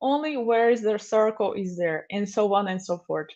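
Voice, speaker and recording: A woman speaks with a Portuguese accent. Her pace is moderate. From Brazil. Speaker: software developer advocate. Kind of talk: conference talk. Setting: remote livestream.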